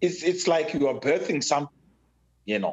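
Here a man speaks with a Zimbabwean accent. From rural Zimbabwe. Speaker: father of the host, technology advocate. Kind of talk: casual interview. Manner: hesitant, many fillers and repeats.

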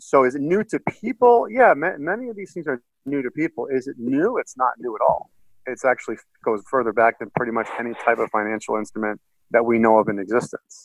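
Fairly quick and lively, a man with an American accent and a normal speaking voice talks at a medium pitch. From US Northeast (Boston, Massachusetts). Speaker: financial strategist. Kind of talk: interview. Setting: call.

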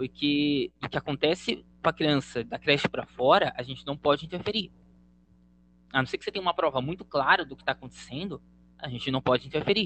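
A man speaks in a plain, everyday voice at a fairly quick pace. His pitch is fairly high, with ordinary pitch variation. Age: 20s. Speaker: educator and blogger. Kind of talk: casual interview.

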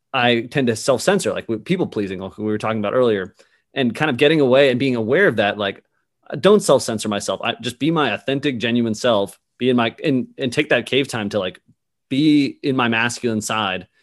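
With an American accent, the speaker moves at a fairly quick pace with ordinary pitch variation. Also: man. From Boston. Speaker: podcast host. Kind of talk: interview conversation. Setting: video call, Dallas.

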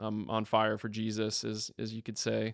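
Using a moderate pace, a man with an American accent speaks with a fairly low pitch. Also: very clean recording, silent background. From Florida (Tallahassee). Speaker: worship pastor. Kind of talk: casual chat. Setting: church office.

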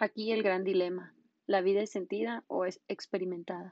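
An unremarkable speaking voice, with fairly even intonation and a moderate pace. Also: woman. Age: 20s. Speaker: law student and podcaster. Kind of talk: scripted monologue.

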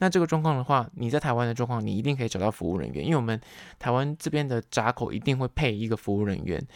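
A man's lively intonation in a very clean recording with a silent background, dry and close with no echo. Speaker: podcast host. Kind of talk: solo podcast talk.

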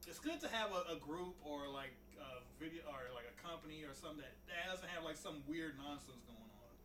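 This man talks at a fairly quick pace with a fairly high pitch, ordinary pitch variation and big swings in loudness. There is noticeable background noise and audible room echo. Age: 20s. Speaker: podcast co-host. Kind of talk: casual chat.

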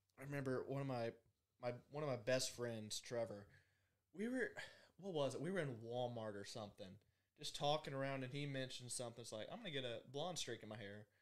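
Speaking at a fairly quick pace, a man talks with a Southern US accent. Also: medium pitch for a man, ordinary pitch variation. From US South. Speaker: podcast producer. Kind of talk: casual chat.

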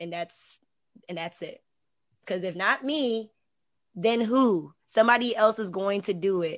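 In an American accent, a woman talks fairly slowly at a medium pitch, with ordinary pitch variation and an animated tone. Her loudness swings widely, and she leaves long, frequent pauses. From Hampton, Virginia. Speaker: artist and university administrator. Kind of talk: casual interview.

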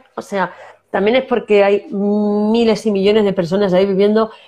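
At a moderate pace, a woman with a La Mancha accent talks at medium pitch in a dark, mellow tone. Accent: Manchego Spanish. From La Mancha, Spain. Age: 50s. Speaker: actress and singer. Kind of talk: casual interview.

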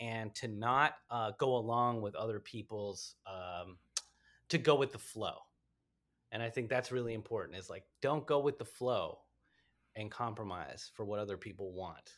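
With a normal speaking voice, a man holds a medium pitch and a moderate pace, his pitch varying in an ordinary way. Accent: American. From Washington, D.C. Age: 40s. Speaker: stand-up comedian. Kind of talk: casual chat.

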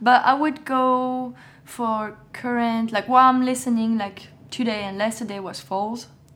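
A woman speaks in a French accent at a fairly high pitch. Her intonation is fairly even, though her loudness swings widely. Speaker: fashion model. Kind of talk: casual interview.

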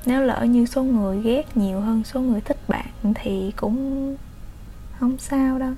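Very slow speech is heard over noticeable background noise. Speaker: solo podcaster. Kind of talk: personal storytelling monologue. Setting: home recording during lockdown. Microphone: poor home recording sound.

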